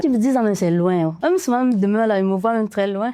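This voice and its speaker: A woman's medium-pitched voice, dark and mellow in tone with ordinary pitch variation, in a dry, close sound with no echo. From Cameroon. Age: 20s. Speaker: textile artist. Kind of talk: interview.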